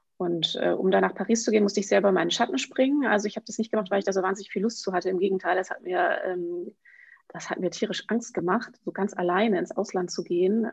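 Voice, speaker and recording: This woman talks very fast. Her voice stays at a mid-range pitch and rises and falls by a normal amount. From northwestern Germany, Emsland. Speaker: children's book author. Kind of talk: interview.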